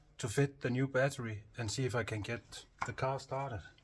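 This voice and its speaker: With a Danish accent, a man talks at a moderate pace in a somewhat breathy, medium-pitched voice with fairly even intonation. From Denmark. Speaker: hobby mechanic and video creator. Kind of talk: casual work narration. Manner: halting, with fillers.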